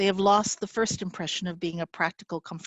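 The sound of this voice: An unforced reading voice with fairly even intonation.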